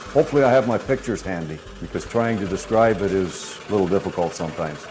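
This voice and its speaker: A man talks at a fairly quick pace with an Upper Midwest accent. Noticeable background noise runs behind him. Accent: Upper Midwest American. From Minnesota. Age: 70s. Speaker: farmer and scroll saw artist. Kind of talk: documentary interview. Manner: halting.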